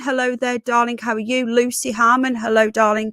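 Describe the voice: A woman's fairly bright voice at a moderate pace, dry and close with no echo.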